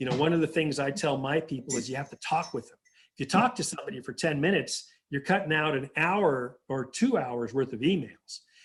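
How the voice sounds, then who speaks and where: This speaker, with an American accent, talks at a fairly quick pace in a somewhat breathy voice, with lively intonation and big swings in loudness. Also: man, fairly high pitch for a man. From southern California. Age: 60s. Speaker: government agency director. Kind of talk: interview.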